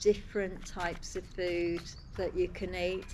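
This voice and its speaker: A woman speaks in a Birmingham accent. Audible room echo surrounds her voice. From Birmingham, England. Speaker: host family mother. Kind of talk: casual interview.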